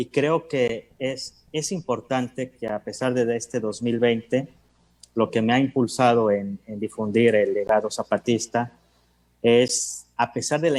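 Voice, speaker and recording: A man's medium-pitched voice at a fairly slow pace with fairly even intonation. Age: 30s. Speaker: historian. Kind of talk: panel talk. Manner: halting, many repetitions.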